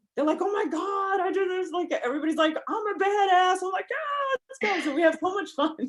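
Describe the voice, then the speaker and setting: Loud and extremely high-pitched, a woman talks at a fairly quick pace. Her intonation is lively, with hardly any pauses. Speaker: counselor and podcaster. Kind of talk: casual chat. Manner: animated.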